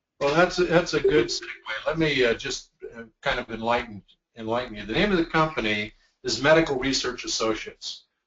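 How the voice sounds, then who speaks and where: Here is a normal speaking voice at a fairly quick pace. The intonation is lively. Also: man, fairly high pitch for a man. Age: 60s. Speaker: company executive. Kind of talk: training webinar. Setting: video call.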